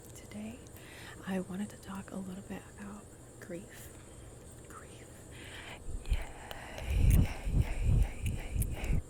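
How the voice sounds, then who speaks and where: Whispered words come very slowly, broken by long, frequent pauses. Noticeable noise sits in the background. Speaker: grief worker. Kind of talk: ASMR soft-spoken ramble. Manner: soft-spoken.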